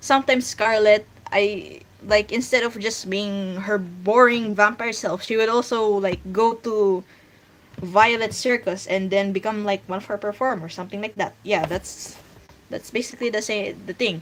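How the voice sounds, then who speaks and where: A woman's fairly high voice at a moderate pace, amid noticeable background noise. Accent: Filipino. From Philippines. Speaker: streamer and webcomic artist. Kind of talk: casual livestream chat. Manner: halting.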